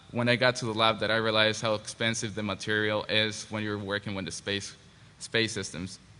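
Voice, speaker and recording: This man speaks with a Spanish accent. His tone is bright and sharp. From Mexico. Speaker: engineering graduate. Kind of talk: panel presentation. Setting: panel at a forum. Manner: halting.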